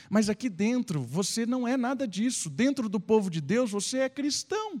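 A man at a fairly slow pace, animated tone and lively intonation, on a very clean recording with a silent background and a dry, close sound with no echo. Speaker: pastor. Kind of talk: sermon. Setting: church. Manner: conversational, teacherly preaching; animated, exhortative.

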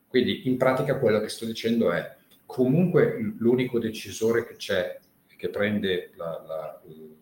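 A man at a fairly slow pace. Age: 50s. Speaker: former fund manager and derivatives trader. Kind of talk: casual chat. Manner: halting.

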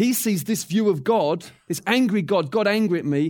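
On a very clean recording with a silent background, a man with an English accent speaks at a moderate pace with lively intonation. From England. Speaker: church teacher. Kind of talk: teaching session.

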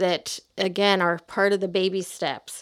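A woman's a normal speaking voice with an American accent, medium pitch and moderate pace. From US Midwest, outside Chicago. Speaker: author and church stewardship teacher. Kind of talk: interview.

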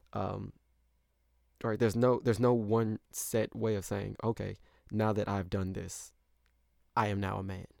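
A man with an American accent speaks at a fairly low pitch and a fairly slow pace, with long, frequent pauses. His intonation is monotone and flat, in a very clean recording with a silent background. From US Midwest, St. Louis. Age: 20s. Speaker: podcast host. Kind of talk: solo monologue podcast. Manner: hesitant, frequent fillers.

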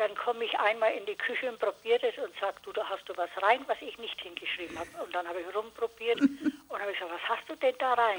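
Over noticeable background noise, a woman with a fairly high pitch speaks at a very fast pace with lively intonation. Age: 80s+. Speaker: author. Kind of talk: casual chat.

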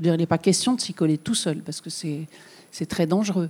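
A woman speaks at a fairly low pitch in a dark, mellow tone. The recording is very clean, with a silent background. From southern France, Bouches-du-Rhône. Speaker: journalist and author. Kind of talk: public talk with Q&A. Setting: public event with audience.

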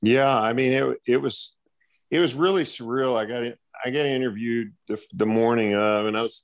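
In a normal speaking voice, a man talks at a moderate pace and medium pitch, his pitch varying in an ordinary way. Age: 60s. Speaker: college track and field coach. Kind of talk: interview.

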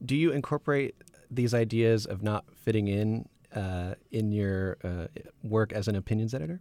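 A man speaks at a moderate pace in a fairly low pitch with ordinary pitch variation. It is an unremarkable speaking voice, with a dry, close sound and no echo. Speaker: student podcast host. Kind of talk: interview.

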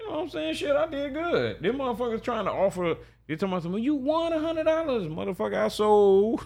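Over noticeable background noise, a man talks at a very fast pace. His pitch is extremely high and swings very widely. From Jacksonville, Florida. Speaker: pimp, podcast guest. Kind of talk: casual chat.

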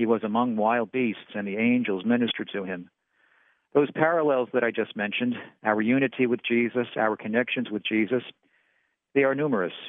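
At a fairly quick pace, a plain, everyday voice speaks with fairly even intonation. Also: man, medium pitch for a man. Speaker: preacher. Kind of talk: sermon. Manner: formal.

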